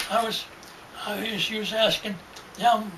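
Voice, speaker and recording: A man's high voice with audible room echo and noticeable background noise. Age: 90s. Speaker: elderly storyteller. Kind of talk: casual chat. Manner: halting.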